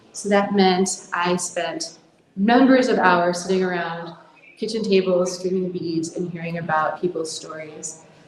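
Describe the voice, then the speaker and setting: A woman with an American accent speaks at a fairly slow pace in a fairly low pitch with fairly even intonation. The recording has audible room echo and noticeable background noise. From US. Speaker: conference speaker, mental health nonprofit founder. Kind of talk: conference talk.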